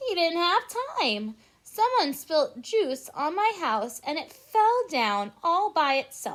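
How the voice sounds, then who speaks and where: A woman's put-on character voice, extremely high and fairly slow, with very wide pitch swings. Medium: read story. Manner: squealing, breathless.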